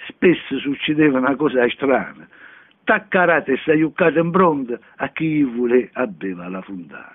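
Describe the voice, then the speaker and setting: A man is speaking. His pace is fairly slow. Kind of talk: dialect poetry reading.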